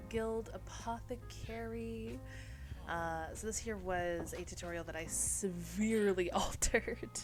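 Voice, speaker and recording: A woman speaks with music in the background. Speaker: VTuber. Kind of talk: casual game tour narration.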